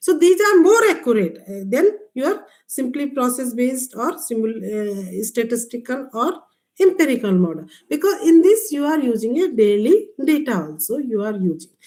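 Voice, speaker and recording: A woman's high-pitched voice in an Indian accent, dark and mellow in tone, with very wide pitch swings. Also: moderate pace. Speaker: agricultural scientist. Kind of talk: lecture. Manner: halting.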